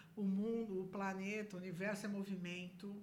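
Somewhat breathy, a woman's medium-pitched voice moves at a moderate pace. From Brazil, São Paulo. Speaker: businesswoman, association council member. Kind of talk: casual interview. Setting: studio.

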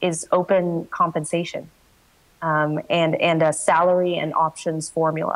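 A woman speaks at a fairly slow pace with a fairly low pitch. It is a plain, everyday voice with ordinary pitch variation. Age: 20s. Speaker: startup founder and CEO. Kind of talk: coaching conversation.

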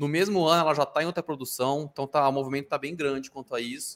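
Recorded with a dry, close sound and no echo, a man speaks very fast at a fairly high pitch with ordinary variation. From Brazil. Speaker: TV news podcast co-host. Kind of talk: casual chat. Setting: live stream.

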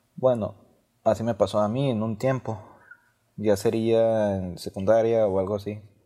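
Dark and mellow in tone, this voice proceeds at a fairly slow pace. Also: man. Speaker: university student. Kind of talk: student speech. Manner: halting.

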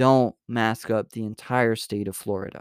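A man speaks with fairly even intonation, captured as a dry, close sound with no echo on a very clean recording with a silent background. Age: 20s. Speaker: podcast host. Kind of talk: casual news commentary. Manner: halting, many fillers and restarts.

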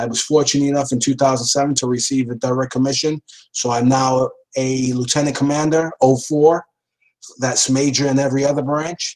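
In a New York accent, the speaker talks at a moderate pace with monotone, flat intonation. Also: man, medium pitch for a man. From New York City (Lower East Side, Manhattan). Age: 50s. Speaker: police deputy commissioner. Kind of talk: interview.

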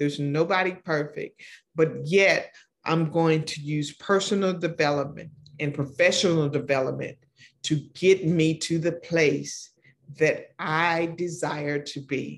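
A woman with an American accent speaks in a very deep, low voice with fairly even intonation. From Oklahoma. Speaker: podcast host, mentor and speaker. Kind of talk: solo podcast monologue. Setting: studio set.

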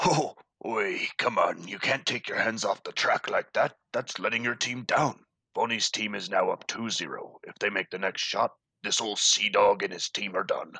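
Someone talks at a moderate pace in a put-on character voice. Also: man. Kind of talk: pirate-like sailor talk. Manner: hearty, jovial.

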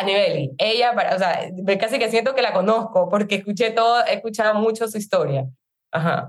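Vocal fry runs through a woman's fairly high voice. She talks at a fairly quick pace. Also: lively intonation. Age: 30s. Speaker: network marketing entrepreneur. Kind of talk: testimony.

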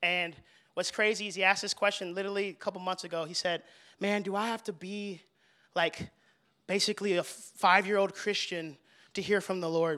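A bright, sharp voice, raised and projected, moves at a fairly quick pace broken by long, frequent pauses, on a very clean recording with a silent background. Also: man, high pitch for a man. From Texas, Fort Worth. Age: 20s. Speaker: young adult ministry leader. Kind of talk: testimony. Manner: animated.

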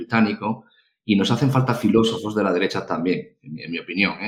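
This man has an unremarkable speaking voice, pitched fairly low, and he talks at a fairly quick pace. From Galicia, Spain. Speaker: podcast co-host. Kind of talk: casual interview chat.

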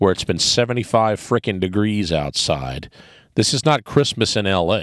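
At a fairly slow pace, a man with a fairly low pitch speaks with very wide pitch swings on a very clean recording with a silent background. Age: 50s. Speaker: podcast host. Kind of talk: casual monologue.

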